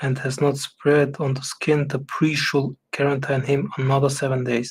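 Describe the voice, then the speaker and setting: A man talks at a moderate pace in a somewhat breathy voice. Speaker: Bible reading streamer. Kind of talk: reading aloud. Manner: halting, stumbles over words.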